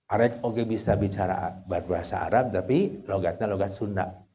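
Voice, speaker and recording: A man speaks fairly quickly in a fairly low, dark, mellow voice that is somewhat breathy, his intonation fairly even. Room echo is audible. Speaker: Islamic scholar teaching trainee clerics. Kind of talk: lecture. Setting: outdoor gathering at fish-pond huts. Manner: casual, mixing Sundanese and Indonesian.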